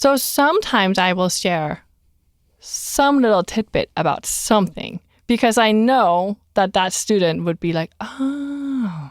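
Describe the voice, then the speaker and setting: With lively intonation and a fairly high pitch, a woman speaks at a fairly slow pace in a dry, close recording with no echo. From outside the US. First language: not English. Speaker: career counselor. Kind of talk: casual chat.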